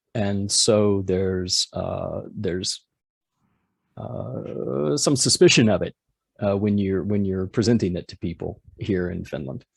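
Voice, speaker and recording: With an American accent, a man speaks at a fairly slow pace in a fairly low voice, his intonation lively and his loudness swinging widely. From US South, Georgia. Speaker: home brewer and PhD student. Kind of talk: conference presentation. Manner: halting, many fillers.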